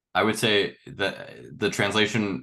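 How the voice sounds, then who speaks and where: A man's bright, sharp tone with vocal fry. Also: quiet background. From Miami suburbs. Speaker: filmmaker, former resident. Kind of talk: casual chat. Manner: animated.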